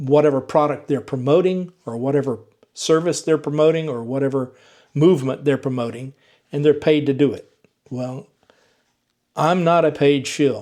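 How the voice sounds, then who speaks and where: Speaking with a slight Southern US accent, a man with a dark, mellow tone and fairly high pitch keeps fairly even intonation at a moderate pace, leaving long, frequent pauses. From US South, Georgia. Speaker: EV YouTuber. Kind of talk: vlog monologue to viewers.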